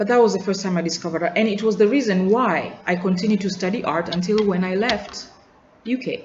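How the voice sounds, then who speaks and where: With audible room echo and noticeable background noise, a woman talks at a very fast pace with fairly even intonation. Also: medium pitch for a woman. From Tanzania. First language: Nyakyusa. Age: adult. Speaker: student vlogger. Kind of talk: personal video journal. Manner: reflective, halting with repetitions.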